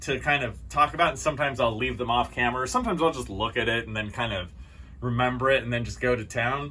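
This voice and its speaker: A man talks at a medium pitch with vocal fry. His tone is bright and sharp. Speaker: archaeology educator YouTuber. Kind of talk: casual off-the-cuff talk to camera. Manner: casual, off the cuff.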